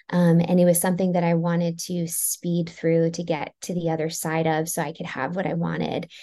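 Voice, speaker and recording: Her voice fairly low and dark and mellow in tone, a woman speaks at a moderate pace with monotone, flat intonation. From US Northeast, Maryland. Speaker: therapist and author. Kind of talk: interview.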